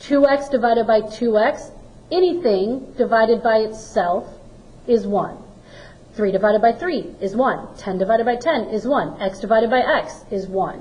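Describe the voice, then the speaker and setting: A woman with an unremarkable speaking voice and a fairly high pitch talks at a moderate pace with lively intonation. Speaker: math teacher. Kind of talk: recorded lesson.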